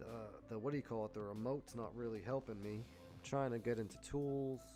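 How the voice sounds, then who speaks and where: A man's medium-pitched voice at a very fast pace, fairly even intonation, and music in the background. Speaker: stock and crypto day-trading livestreamer. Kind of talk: casual livestream talk while fixing tech problems. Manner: loud.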